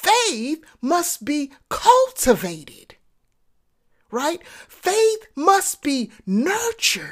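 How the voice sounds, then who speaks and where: A woman's high voice at a very slow pace. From Texas, then New York City projects. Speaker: podcast host, entrepreneurship coach. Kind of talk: motivational monologue. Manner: conversational with frequent fillers and repetitions.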